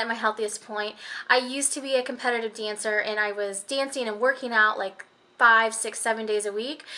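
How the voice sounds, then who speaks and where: Fairly quick speech comes with an American accent. The tone is bright and sharp. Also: woman. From Illinois, US Midwest. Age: 20s. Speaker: vlogger, stay-at-home mom. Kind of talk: casual vlog, tag questions.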